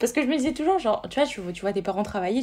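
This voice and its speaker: In a slight southern French accent, a woman talks at a very fast pace with lively intonation. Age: 20s. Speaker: law student. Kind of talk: casual chat.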